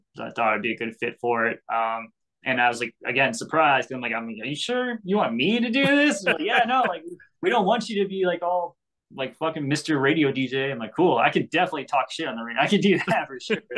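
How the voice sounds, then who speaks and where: Very fast, animated delivery with very wide pitch swings and a bright, sharp tone. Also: man. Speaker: radio host and content creator. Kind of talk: casual interview chat. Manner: rambling, stuttering, mumbling; excitable, animated.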